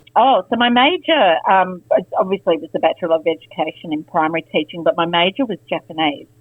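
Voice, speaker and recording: A woman's lively intonation in an Australian accent. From Australia, Canberra. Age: 50s. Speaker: former teacher. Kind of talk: interview. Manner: hesitant, many fillers.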